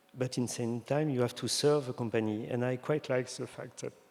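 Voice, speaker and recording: Speaking with a French accent at a moderate pace, a man keeps a medium pitch and fairly even intonation. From France (Brittany). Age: 50s. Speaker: designer. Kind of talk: interview on stage. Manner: halting.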